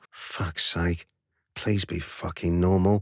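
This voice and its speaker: A man's put-on character voice, nasal and very deep, flat and monotone, at a fairly slow pace. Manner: irritated, pleading.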